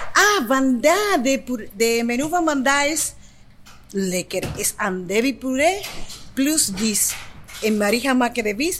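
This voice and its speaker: Speaking very slowly, a woman with a high voice makes very wide pitch swings and leaves long, frequent pauses. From Dominican Republic. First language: Spanish (speaking Dutch). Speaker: kitchen worker. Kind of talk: casual chat.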